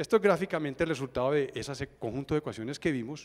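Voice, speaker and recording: A man talks very fast with ordinary pitch variation, the recording very clean and the background silent. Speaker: engineer speaker at a seminar. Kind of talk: technical presentation.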